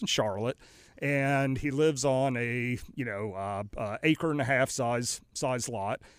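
A man speaks with lively intonation at a medium pitch, in an ordinary speaking voice. The recording is very clean, the background silent. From North Carolina. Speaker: company CEO. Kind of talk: interview. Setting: studio.

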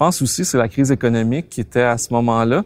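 In a dry, close sound with no echo, a man speaks at a very fast pace with a medium pitch. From Quebec. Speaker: car collector. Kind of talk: interview.

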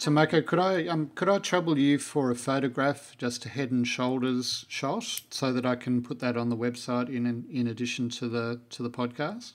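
An Australian accent at a moderate pace. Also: man, very clean recording, silent background. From Melbourne, Australia. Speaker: podcast host. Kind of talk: interview.

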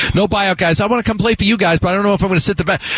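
A man speaks with an American accent and lively intonation. Noticeable background noise can be heard. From New York. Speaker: sports radio host. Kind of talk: sports talk radio. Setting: radio studio.

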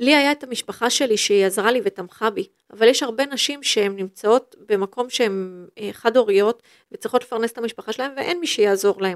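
The recording is dry and close, with no echo. A woman speaks at a fairly quick pace in a fairly high pitch with ordinary pitch variation. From northern Israel (moshav in Western Galilee). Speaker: football club executive. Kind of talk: interview. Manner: halting, many fillers and restarts.

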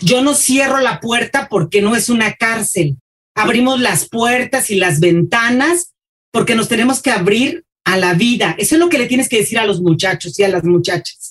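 This woman has a fairly high, somewhat breathy voice with lively intonation. She keeps a moderate pace and very even loudness. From Mexico City. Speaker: school supervisor and teacher. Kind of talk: interview.

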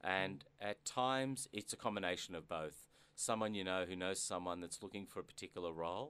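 With an Australian accent, a man speaks at a fairly quick pace in a very deep, low pitch and ordinary pitch variation. His tone is bright and sharp. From Australia, Melbourne. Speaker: business executive. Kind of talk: interview. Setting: studio. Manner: halting, many fillers.

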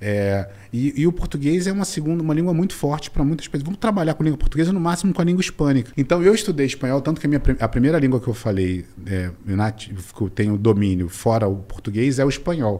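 Speaking at a very fast pace, a man with a fairly high pitch and a dark, mellow tone makes very wide pitch swings. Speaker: business mentor and angel investor. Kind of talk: interview. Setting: studio, in person.

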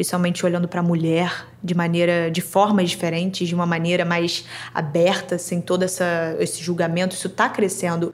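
A woman is speaking at a fairly low pitch. She keeps a moderate pace. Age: young. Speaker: interviewee, granddaughter. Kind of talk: interview.

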